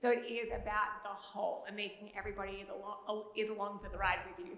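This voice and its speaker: A woman's medium-pitched voice in an Australian accent, very fast, with fairly even intonation, big swings in loudness, audible room echo and noticeable background noise. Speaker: panelist. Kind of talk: keynote panel discussion.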